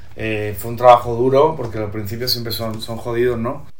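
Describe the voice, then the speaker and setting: Noticeable background noise and audible room echo surround the recording. A man speaks at a moderate pace. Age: 30s. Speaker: singer-songwriter and poet. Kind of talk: casual interview.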